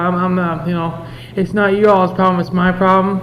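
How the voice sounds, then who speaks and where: Noticeable background noise and audible room echo surround this recording. A man talks in a high pitch with monotone, flat intonation. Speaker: recovering addict sharing at a convention. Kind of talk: testimony. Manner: halting.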